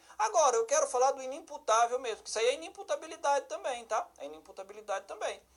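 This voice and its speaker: Against noticeable background noise, a man with a northeastern Brazilian accent speaks fairly quickly in an animated tone, his extremely high voice making very wide pitch swings. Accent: northeastern Brazilian, southern Paraíba. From Brazil, Federal District (Ceilândia). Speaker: law teacher for police exams, judge. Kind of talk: online lecture. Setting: live-streamed class. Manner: animated, conversational.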